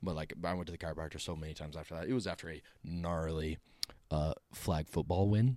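Very deep and low in pitch, a man with an American accent talks very fast in a dark, mellow tone with ordinary pitch variation. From Utah. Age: 20s. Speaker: podcast guest. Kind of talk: casual chat.

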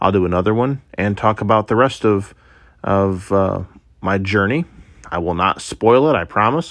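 Against a quiet background, a man with a Midwestern US accent and a fairly low pitch speaks at a moderate pace with ordinary pitch variation. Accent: US Midwest. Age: 30s. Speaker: podcaster. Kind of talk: casual monologue; personal testimony.

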